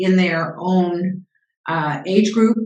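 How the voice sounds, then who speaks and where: A woman's medium-pitched voice at a very slow pace, with fairly even intonation and audible room echo. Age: 70s. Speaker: business founder and CEO coach. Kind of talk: interview.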